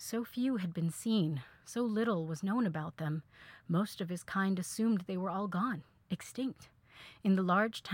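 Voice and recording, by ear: Text is read aloud here in a natural voice.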